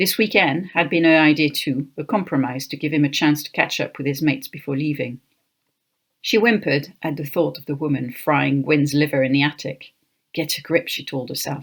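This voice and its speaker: Heard on a very clean recording with a silent background, the voice carries a French accent at a fairly quick pace. Pitch variation is ordinary, while loudness swings widely. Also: woman, very deep, low pitch for a woman. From France, Paris. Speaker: author. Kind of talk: reading aloud.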